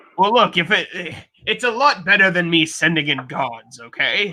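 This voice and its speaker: A man puts on a character voice, speaking at a high pitch and a moderate pace. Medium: actual play. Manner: pompous, patronizing.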